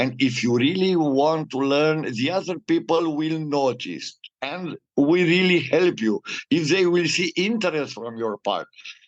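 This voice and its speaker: A man with a normal speaking voice talks at a fairly slow pace, his pitch fairly high with ordinary pitch variation. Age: 60s. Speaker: data protection consultant. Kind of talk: interview.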